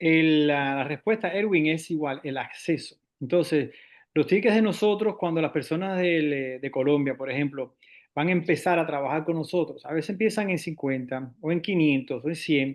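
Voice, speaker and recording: A man's fairly high-pitched voice at a moderate pace, with ordinary pitch variation. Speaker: investment firm representative. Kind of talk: panel discussion. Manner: halting, many fillers.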